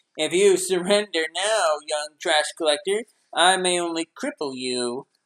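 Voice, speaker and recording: At a moderate pace, a man uses a put-on character voice pitched high. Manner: mocking, oily.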